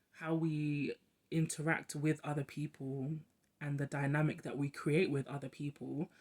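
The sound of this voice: Slightly mellow in tone, the voice moves at a fairly slow pace with little pitch movement.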